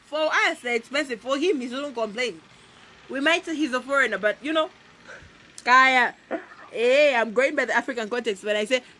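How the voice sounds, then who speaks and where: Over noticeable background noise, a woman speaks in a raised, projected voice at a high pitch with ordinary pitch variation. Her moderate pace is broken by long, frequent pauses. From Zambia, Copperbelt. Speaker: podcast co-host. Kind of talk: casual chat. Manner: animated.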